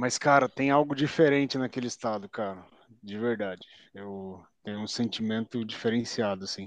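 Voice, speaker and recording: A man speaks at a moderate pace with a medium pitch and ordinary pitch variation. His loudness swings a lot over a quiet background. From Curitiba, southern Brazil. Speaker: podcast co-host, civil servant. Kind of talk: casual chat.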